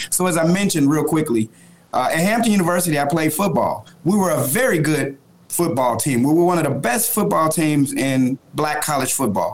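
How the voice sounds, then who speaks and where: Speaking at a fairly quick pace with lively intonation and very even loudness, a man with an American accent and a fairly high pitch comes through noticeable background noise. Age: 40s. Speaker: youth organization leader. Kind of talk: political discussion; personal story.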